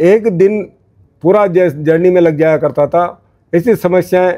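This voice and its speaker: This man's voice sits high in pitch, with a dark, mellow tone. His pitch variation is ordinary. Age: 60s. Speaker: community leader. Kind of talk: interview. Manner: halting.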